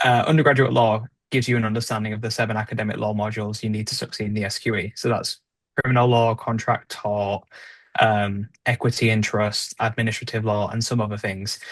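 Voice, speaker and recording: A man at a medium pitch, talking at a very fast pace in a monotone, flat intonation, against a quiet background. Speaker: podcast co-host, trainee solicitor. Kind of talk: casual podcast discussion.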